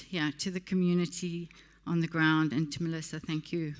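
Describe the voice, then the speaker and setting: A woman speaks with a South African accent at a fairly low pitch, in a flat monotone. The recording is very clean with a silent background. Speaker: partnership director of a tech community. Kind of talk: closing speech at awards event.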